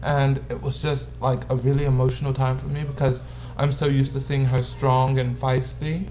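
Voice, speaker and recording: At a moderate pace, a man talks while audible echo fills the room. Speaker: vlogger. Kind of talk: casual vlog, answering viewer questions.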